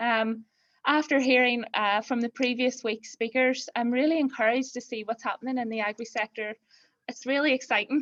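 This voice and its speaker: A woman with a Belfast accent, high-pitched and fairly quick, with fairly even intonation in a dry, close sound with no echo. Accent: Belfast brogue. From Northern Ireland, north Belfast. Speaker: farm accountant. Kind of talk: webinar talk. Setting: online webinar.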